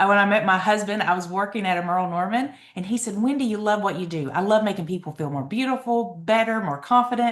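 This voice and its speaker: This woman talks very fast in an Eastern Kentucky accent. Her pitch moves in an ordinary way. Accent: Eastern Kentucky Appalachian. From Eastern Kentucky mountains. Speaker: network marketing seller. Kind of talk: sales presentation. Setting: video call with screen share.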